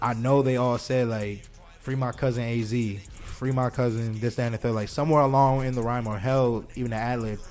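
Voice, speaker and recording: A man talks at a fairly quick pace, medium in pitch, in a monotone, flat delivery. Music plays in the background. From Buffalo, New York (western New York State). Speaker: rapper. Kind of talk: casual interview chat.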